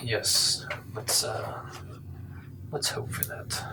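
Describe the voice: Very slowly, a man speaks in a whisper.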